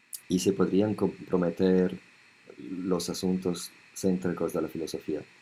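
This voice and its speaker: This man has a very deep, low pitch and a dark, mellow tone, and he talks at a fairly slow pace. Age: 70s. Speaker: monk and spiritual author. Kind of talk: interview.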